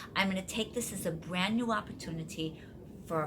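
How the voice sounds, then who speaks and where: In an American accent, a woman at medium pitch talks fairly quickly with lively intonation and an enthusiastic tone, with audible room echo and noticeable background noise. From US Midwest (Wisconsin). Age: 60s. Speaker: life coach and video host. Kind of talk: casual vlog talk to viewers.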